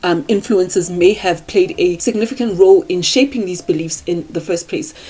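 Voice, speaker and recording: Her pitch sits in the medium range for a woman. She speaks with a non-native accent. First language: not English. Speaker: self-improvement YouTuber. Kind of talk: casual talk to camera, partly scripted. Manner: halting on words.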